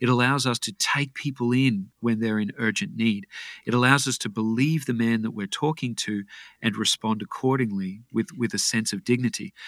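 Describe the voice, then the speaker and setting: Recorded very cleanly against a silent background, with a dry, close sound and no echo, a man with an Australian accent speaks at medium pitch and a moderate pace, with ordinary pitch variation. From Australia (Brisbane, Queensland). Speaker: health and fitness coach. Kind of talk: interview.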